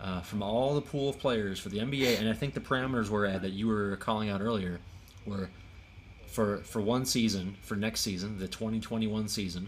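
A man with a plain, everyday voice speaks at a fairly low pitch and moderate pace, with fairly even intonation. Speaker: podcast host. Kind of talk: casual chat.

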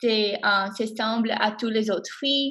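A woman with an English accent speaks with fairly even intonation. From Miami, Florida. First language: English (speaking French). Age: 20s. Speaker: college student. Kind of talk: class podcast discussion. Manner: hesitant, many fillers.

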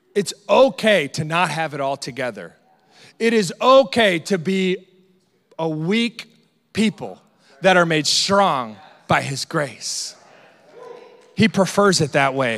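Pitched high, a man speaks at a very slow pace with very wide pitch swings and long, frequent pauses. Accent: American. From Iowa, US Midwest. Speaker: pastor. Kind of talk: sermon. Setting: church with congregation. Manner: casual, humorous.

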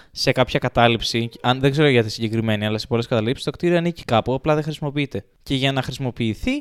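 A man speaks at a very fast pace, his pitch medium. The recording is very clean with a silent background and a dry, close sound with no echo. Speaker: house owner and friend of the hosts. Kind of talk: casual chat.

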